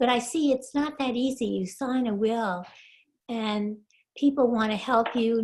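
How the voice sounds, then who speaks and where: A somewhat breathy woman speaks at a fairly high pitch and moderate pace, her intonation fairly even. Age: 80s+. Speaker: class participant. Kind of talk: casual introduction. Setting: video call.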